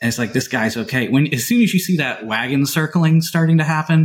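A somewhat breathy male voice, fairly high in pitch, with lively intonation and an American accent. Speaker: podcast co-host. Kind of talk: casual interview chat.

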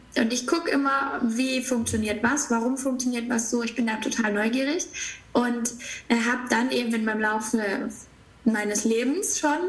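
A woman with a fairly high pitch speaks at a moderate pace. Noticeable background noise and audible room echo are present. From southern Germany, near Stuttgart. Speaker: spiritual business coach. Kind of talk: casual interview.

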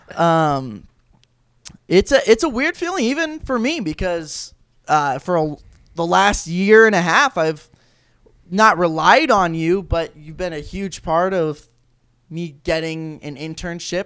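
A man speaks loudly at a high pitch with ordinary pitch variation. The recording is very clean with a silent background. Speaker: college sports podcast host. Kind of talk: casual chat.

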